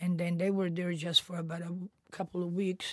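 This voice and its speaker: The speaker goes at a fairly slow pace with a somewhat breathy voice. The intonation is monotone and flat. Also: woman. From Italy. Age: 80s+. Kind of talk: interview answer.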